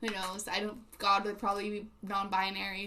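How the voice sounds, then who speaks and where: A woman speaks at medium pitch and a moderate pace. Her intonation is monotone and flat, with audible room echo. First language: not English. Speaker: livestreamer. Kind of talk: casual chat with live chat readers. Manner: halting, many fillers.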